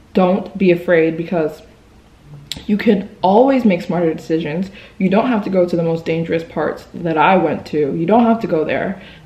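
A woman with a fairly low pitch speaks amid audible room echo. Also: ordinary pitch variation, moderate pace. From US, moved around. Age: 20s. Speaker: travel vlogger. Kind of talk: storytelling vlog. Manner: animated. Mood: serious, recounting frightening event. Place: home room. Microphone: phone near.

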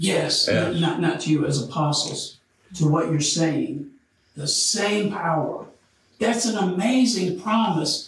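The speech moves at a very slow pace with ordinary pitch variation. Light background noise and audible room echo are present. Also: man, high pitch for a man. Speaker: Bible study teacher. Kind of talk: Bible study lecture. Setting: church. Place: classroom. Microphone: camera far.

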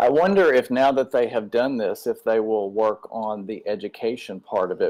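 Talking at a moderate pace, a man is heard with a quiet background behind him. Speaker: audience member. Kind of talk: Q&A discussion. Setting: video call. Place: home room. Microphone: webcam.

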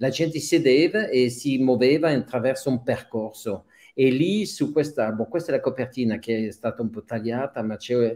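Against a quiet background, a man with a French accent speaks in a dark, mellow tone. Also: medium pitch for a man, ordinary pitch variation, moderate pace. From Switzerland, Geneva (French-speaking). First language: French (speaking Italian). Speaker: documentary photographer; guest. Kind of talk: interview. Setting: video call. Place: home room. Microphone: video call.

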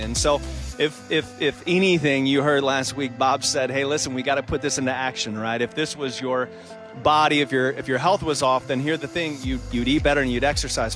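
Clear music plays in the background while a man talks at a fairly quick pace. The sound is dry, with no echo. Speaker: associate pastor, online host. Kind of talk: warm host welcome and reading of viewer comments. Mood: warm, cheerful, smiling. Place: hall. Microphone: handheld.

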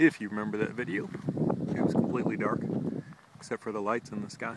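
A man talks at a very fast pace with ordinary pitch variation. The sound is dry with no echo, though background noise is loud. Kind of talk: casual vlog narration. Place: open country. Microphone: phone near.

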